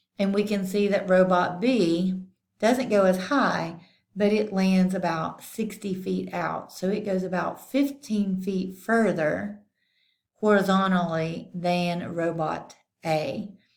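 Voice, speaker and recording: A woman's very slow speech, wrapped in audible room echo. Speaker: math teacher. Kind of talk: tutorial.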